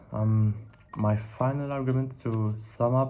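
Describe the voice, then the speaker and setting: Heard with audible room echo, a man with a dark, mellow tone and medium pitch speaks at a very slow pace with fairly even intonation. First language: not English. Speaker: philosophy video creator. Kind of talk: monologue reflection to camera. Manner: halting, with self-corrections and fillers.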